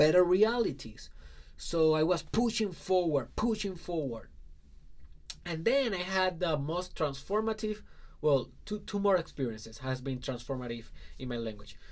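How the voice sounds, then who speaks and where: A man talks in a high voice. His pitch swings very widely. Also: moderate pace. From Puerto Rico, rural southwest. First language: Spanish. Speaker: life coach. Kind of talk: personal story talk.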